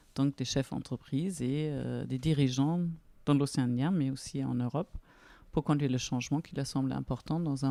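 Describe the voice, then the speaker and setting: With a German accent, a woman speaks at a moderate pace in a very deep, low voice with a dark, mellow tone and fairly even intonation, in a very clean recording with a silent background and a dry, close sound with no echo. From Germany, near Frankfurt. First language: German (speaking French). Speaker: business coach. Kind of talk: podcast interview.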